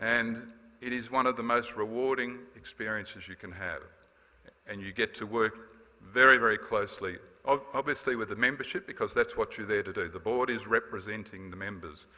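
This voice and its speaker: Here a man talks at a fairly quick pace in a bright, sharp tone, with big swings in loudness. His pitch is medium, with ordinary variation. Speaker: former association president. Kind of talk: farewell speech. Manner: fast.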